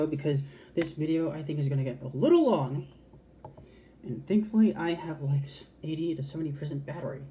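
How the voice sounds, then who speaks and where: A woman speaks with a very deep, low pitch and a dark, mellow, somewhat breathy tone. Her pace is fairly quick, her pitch variation ordinary, and her speech is broken by long, frequent pauses. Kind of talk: casual talk to camera. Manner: passionate, candid, expressive.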